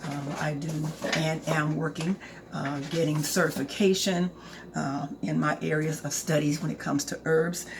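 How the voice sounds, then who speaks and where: Noticeable background noise accompanies a woman's very deep, low-pitched voice. She keeps a moderate pace with ordinary pitch variation. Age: 60s. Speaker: herbal skincare product maker. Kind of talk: casual sales pitch to camera. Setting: home apothecary, recording to camera. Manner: animated, chatty.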